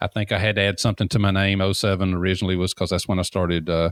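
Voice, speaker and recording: In a very clean recording with a silent background and a dry, close sound with no echo, a man speaks with a very deep, low pitch and a Southern accent. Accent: fairly southern. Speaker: deck builder and industry consultant. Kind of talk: interview.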